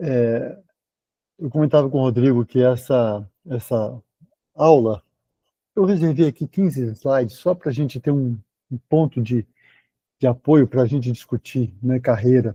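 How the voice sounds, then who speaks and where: A dark, mellow, somewhat breathy voice speaks at a fairly slow pace with long, frequent pauses and ordinary pitch variation. The sound is dry and close with no echo. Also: man, medium pitch for a man. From Brazil, Belo Horizonte (Minas Gerais). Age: 60s. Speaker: surgeon, lecturer. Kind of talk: lecture. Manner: halting, with many repetitions.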